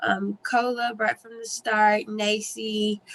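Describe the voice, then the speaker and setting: A woman speaks at a fairly high pitch with a bright, sharp tone. Her intonation stays flat and monotone. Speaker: early learning program staff. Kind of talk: meeting update. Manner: fast.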